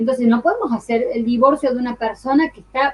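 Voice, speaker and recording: Her voice is high and animated in tone. The woman talks at a fairly quick pace. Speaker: law course teacher. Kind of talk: online lecture. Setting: live online class. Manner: fast.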